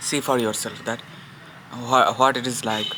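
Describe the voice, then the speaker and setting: A man with a Bengali accent, medium pitch and monotone, flat intonation at a moderate pace, over noticeable background noise. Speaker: vlogger. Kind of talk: casual vlog. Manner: halting.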